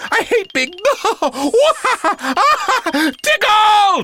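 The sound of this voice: Putting on a character voice, a man speaks very slowly at an extremely high pitch, his tone bright and sharp and his pitch swinging widely.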